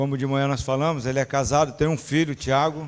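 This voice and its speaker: A man speaks in a fairly high voice at a moderate pace, his intonation monotone and flat. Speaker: church member leading prayer. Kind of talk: introducing a guest speaker; prayer.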